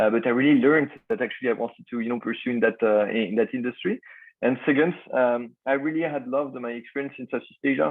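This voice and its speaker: With a French accent, the speech comes at a very fast pace and ordinary pitch variation. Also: man, medium pitch for a man. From France. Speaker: startup founder. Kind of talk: podcast interview. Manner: halting, many fillers.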